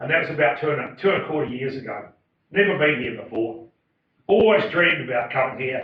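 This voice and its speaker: Spoken very fast with lively intonation, the voice carries a New Zealand accent. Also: man, fairly high pitch for a man. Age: 60s. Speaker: farmer and motivational speaker. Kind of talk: public talk. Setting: stage with audience. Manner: halting.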